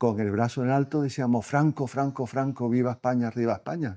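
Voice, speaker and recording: This man speaks at a fairly quick pace in a medium pitch. His tone is dark and mellow, over a quiet background. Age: 70s. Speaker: historical memory association vice president. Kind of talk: interview.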